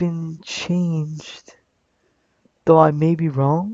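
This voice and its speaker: A man with a high voice speaks very slowly. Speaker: aspiring esports caster, vlogger. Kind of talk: casual vlog monologue. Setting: webcam recording at home. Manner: halting, many fillers and repetitions. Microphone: cheap webcam.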